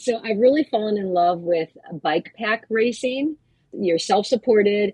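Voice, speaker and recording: A plain, everyday voice, a woman's, fairly high-pitched, with lively intonation at a fairly slow pace. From US Midwest. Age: 60s. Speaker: family physician and endurance cyclist. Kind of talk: interview.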